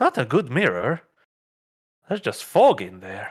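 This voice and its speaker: Using a put-on character voice, a man speaks at a fairly high pitch. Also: moderate pace. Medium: actual play. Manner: halting, hesitant.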